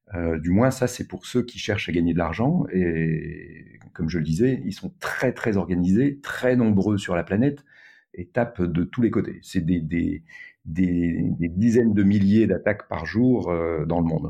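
Fairly slow and very deep, a man's voice carries a dark, mellow tone. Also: ordinary pitch variation. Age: 60s. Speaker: tech entrepreneur. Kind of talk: interview conversation.

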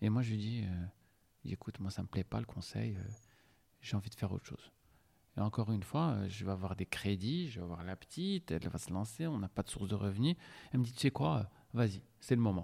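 With lively intonation and long, frequent pauses, a man with a dark, mellow tone speaks at a fairly quick pace in a very clean recording with a silent background and a dry, close sound with no echo. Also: fairly low pitch for a man. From Morocco, Casablanca. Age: 40s. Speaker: restaurant entrepreneur. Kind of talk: interview. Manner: hesitant, with filler sounds.

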